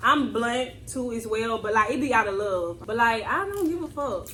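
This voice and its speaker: Amid noticeable background noise and audible room echo, a woman speaks at a moderate pace in a high pitch with ordinary pitch variation. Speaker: lifestyle vlogger. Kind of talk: casual chat. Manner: animated.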